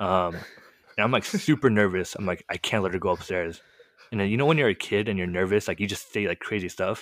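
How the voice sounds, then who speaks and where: In a Californian accent, a man with a fairly low pitch and ordinary pitch variation talks at a very fast pace, the sound dry and close with no echo. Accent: general American, Californian. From California, US. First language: Korean. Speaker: podcast co-host sharing his testimony. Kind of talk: casual conversational storytelling, testimony. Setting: late-night video call recording.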